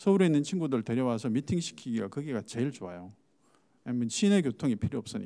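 At a very fast pace, the voice has a dark, mellow tone and very wide pitch swings over a quiet background. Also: man. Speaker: startup foundation head; panelist. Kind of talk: panel discussion. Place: hall. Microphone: handheld.

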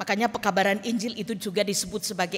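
The intonation stays fairly even. A woman speaks in a somewhat breathy voice. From Indonesia, Toraja (South Sulawesi). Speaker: pastor. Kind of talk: sermon. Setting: church. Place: church. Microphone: podium.

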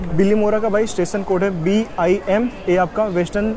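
Over noticeable background noise, a man with a high pitch talks with fairly even intonation. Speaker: travel vlogger. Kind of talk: casual vlog chat. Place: train. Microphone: lapel.

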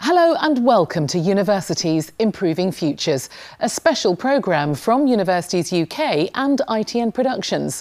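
Against a quiet background, a woman speaks at a moderate pace with hardly any pauses and very wide swings in pitch. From UK. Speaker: newsreader. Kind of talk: TV programme presenting. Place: studio.

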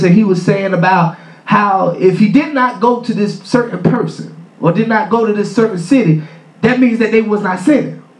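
A man talks at a moderate pace, his pitch high for a man. Room echo is audible. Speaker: preacher. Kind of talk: sermon. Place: church. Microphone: camera far.

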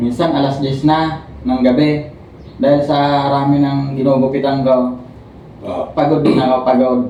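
Set against light background noise and audible room echo, a man with a fairly high voice speaks fairly slowly in a flat monotone, his loudness very even throughout. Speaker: stroke survivor and barber. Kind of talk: testimony. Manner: halting. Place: home room. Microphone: camera far.

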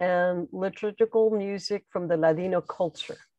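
A woman speaks at a very slow pace with fairly even intonation. The background is quiet and the sound is dry, with no echo. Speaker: library program moderator. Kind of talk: formal introduction. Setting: video call. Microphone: earbuds.

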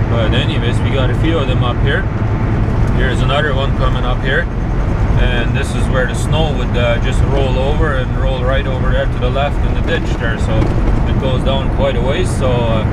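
Loud background noise behind a man speaking at a moderate pace. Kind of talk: casual vlog chat. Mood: relaxed, admiring. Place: car. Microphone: camera far.

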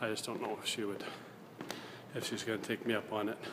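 A man's speech comes through over noticeable background noise. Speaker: vlogger. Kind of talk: casual vlog chat. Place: hall. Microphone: phone near.

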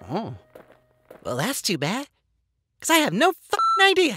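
A high, cartoonish character voice plays over sound effects in the background. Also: moderate pace. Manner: folksy, casual, hesitant.

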